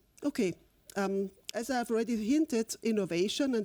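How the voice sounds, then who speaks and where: In a dry, close sound with no echo, a woman with a dark, mellow tone speaks at a fairly quick pace with ordinary pitch variation, on a very clean recording with a silent background. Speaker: linguistics professor. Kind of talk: lecture. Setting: lecture hall with audience. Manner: hesitant, many fillers.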